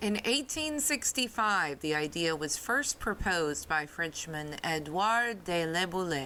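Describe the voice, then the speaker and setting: Her tone bright and sharp, a woman with a Southern US accent speaks at a moderate pace and a fairly low pitch. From American Deep South. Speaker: podcast host. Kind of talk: history podcast narration. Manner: casual, chatty.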